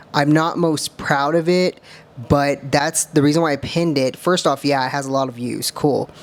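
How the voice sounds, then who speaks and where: A woman speaks with a very deep, low pitch at a moderate pace. Noticeable background noise sits behind her. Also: fairly even intonation. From US, small towns. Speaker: bodybuilder and content creator. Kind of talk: reaction video commentary. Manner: casual, filler-heavy (um, uh).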